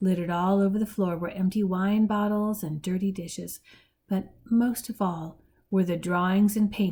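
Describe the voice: Fairly even intonation in a plain reading aloud.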